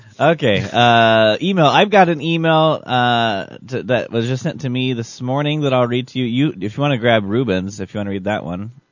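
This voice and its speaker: A normal speaking voice with lively intonation, a moderate pace and hardly any pauses. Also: man, medium pitch for a man. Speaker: radio host. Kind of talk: casual banter, comedic radio show.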